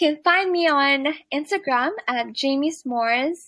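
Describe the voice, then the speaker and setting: A woman's high-pitched voice with a bright, sharp tone and ordinary pitch variation, on a very clean recording with a silent background. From Philippines. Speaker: entrepreneur. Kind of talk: interview.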